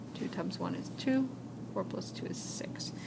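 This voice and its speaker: A woman is whispering. Audible room echo is present. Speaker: high school math teacher. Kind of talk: recorded lecture. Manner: casual, with fillers.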